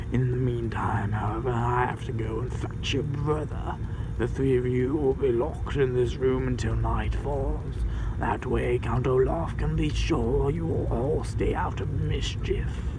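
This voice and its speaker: Someone talks in a put-on character voice at a moderate pace. Loud noise fills the background. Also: man. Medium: read story. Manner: sickly sweet yet menacing.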